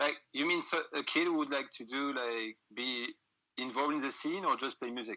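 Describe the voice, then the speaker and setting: With a French accent, a man talks at a fairly quick pace in a bright, sharp tone, his pitch fairly high with ordinary variation, in a dry, close sound with no echo. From France. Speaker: music booker and band musician. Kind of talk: casual interview chat. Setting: Instagram live video call. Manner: halting.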